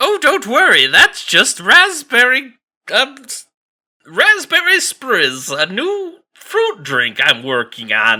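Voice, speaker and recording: A man uses a put-on character voice at an extremely high pitch. He speaks at a very slow pace. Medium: actual play. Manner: chipper, evasive.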